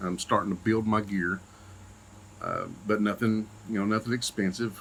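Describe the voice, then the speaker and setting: A man's fairly low voice with an Eastern Kentucky accent, bright, sharp tone and moderate pace. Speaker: paramedic and YouTuber. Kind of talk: channel introduction vlog. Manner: casual, many fillers.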